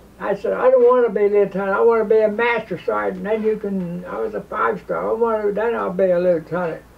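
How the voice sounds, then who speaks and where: A man speaks at a very fast pace. He takes hardly any pauses. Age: 80s+. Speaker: war veteran. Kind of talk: oral history interview. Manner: halting. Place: home room.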